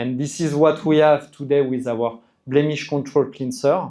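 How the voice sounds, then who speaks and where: A man speaks with a French accent. His voice is fairly high in pitch, with a dark, mellow tone. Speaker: skincare brand representative explaining products. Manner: hesitant, repeats words.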